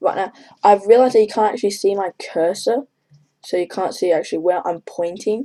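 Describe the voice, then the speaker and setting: Soft-spoken and fairly quick, a woman talks in a dark, mellow tone at a medium pitch with ordinary pitch variation. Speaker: gaming video commentator. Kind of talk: gameplay commentary.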